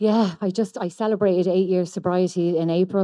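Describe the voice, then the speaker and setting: A woman talks at a fairly quick pace in an Irish accent. Her pitch sits fairly low, and her intonation is monotone and flat. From Ireland. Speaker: recovering addict sharing at a convention. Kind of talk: testimony.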